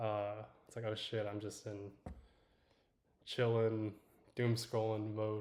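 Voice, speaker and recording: Mumbling in a fairly low, relaxed voice, a man speaks with a dark, mellow tone and monotone, flat intonation. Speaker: livestreamer and tech founder. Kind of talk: casual livestream chat. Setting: livestream. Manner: mumbling, under-projected; relaxed, halting with fillers.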